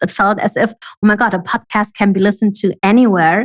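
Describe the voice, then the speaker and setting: In a dry, close sound with no echo, a woman speaks at a medium pitch and a moderate pace with fairly even intonation. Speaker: online business coach. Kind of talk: podcast interview.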